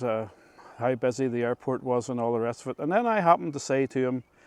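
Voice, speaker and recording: A man's very fast, medium-pitched speech with a Northern Irish accent, ordinary pitch variation, and a dry, close sound with no echo. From Northern Ireland, Ards Peninsula. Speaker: local history storyteller. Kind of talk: storytelling. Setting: outdoors.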